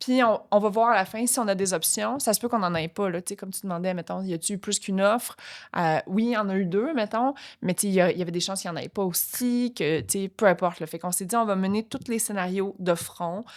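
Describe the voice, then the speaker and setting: On a very clean recording with a silent background, a woman rushes along at a very fast pace with hardly any pauses, her medium pitch showing ordinary variation. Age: 40s. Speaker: entrepreneur. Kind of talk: podcast interview. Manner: halting, many fillers.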